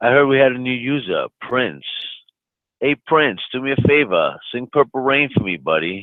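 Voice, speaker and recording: A man's medium-pitched voice in a New York accent, at a moderate pace with ordinary pitch variation. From New York, Brooklyn. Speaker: chat room regular. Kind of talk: casual group chat. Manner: animated.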